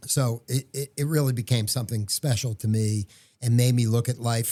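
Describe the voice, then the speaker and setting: A man's somewhat breathy, dark and mellow voice at a medium pitch and moderate pace, with ordinary pitch variation and a dry, close sound with no echo. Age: 60s. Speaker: entrepreneur and podcast co-host. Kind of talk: casual chat. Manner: halting, with many fillers and restarts.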